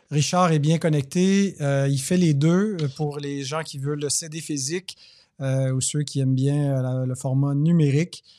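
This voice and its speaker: With a dark, mellow tone and a fairly high pitch, a man speaks at a fairly slow pace with fairly even intonation. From Quebec. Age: young. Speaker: podcast host. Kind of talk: interview.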